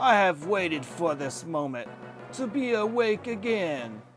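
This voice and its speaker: Putting on a character voice, a man talks at a fairly slow pace in a high pitch, his tone menacing and theatrical. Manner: grand, menacing, theatrical.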